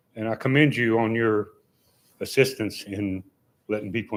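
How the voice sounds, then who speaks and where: A man with an Appalachian accent, fairly low in pitch, at a moderate pace with fairly even intonation, in a very clean recording with a silent background. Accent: Appalachian Southern US. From western North Carolina. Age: 70s. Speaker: member of the public speaking at a council meeting. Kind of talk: public comment. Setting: town council meeting.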